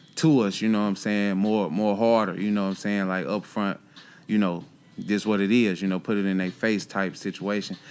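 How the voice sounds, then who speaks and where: A man with an American accent, fairly low-pitched and fairly quick, with fairly even intonation, on a very clean recording with a silent background. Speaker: rapper. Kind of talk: casual interview. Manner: hesitant, many fillers.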